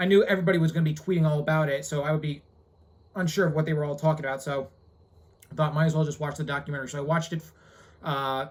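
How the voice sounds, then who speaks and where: A man's fairly high, somewhat breathy voice at a very fast pace, with fairly even intonation. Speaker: YouTuber giving reaction commentary. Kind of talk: reaction commentary monologue. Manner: halting, stuttering.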